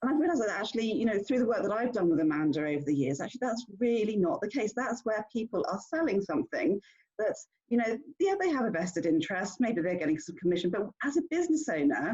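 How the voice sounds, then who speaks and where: A woman's very fast, somewhat breathy voice, fairly high in pitch, with very wide pitch swings. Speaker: business owner hosting a networking meetup. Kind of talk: online meeting introduction. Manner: halting, many fillers.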